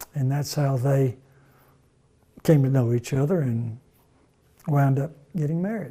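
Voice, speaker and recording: Speaking with a Mississippi accent, a man uses a fairly high pitch and a dark, mellow, somewhat breathy tone, moving at a fairly slow pace with long, frequent pauses. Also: ordinary pitch variation. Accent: Mississippi Southern US. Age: 70s. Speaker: retired grandfather telling life stories. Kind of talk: oral history interview. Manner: halting, many fillers and repeats.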